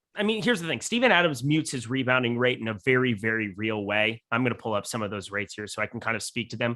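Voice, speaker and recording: A man at a very fast pace, with hardly any pauses and a bright, sharp tone. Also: medium pitch for a man, ordinary pitch variation. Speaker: fantasy sports analyst. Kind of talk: live stream sports analysis. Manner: animated.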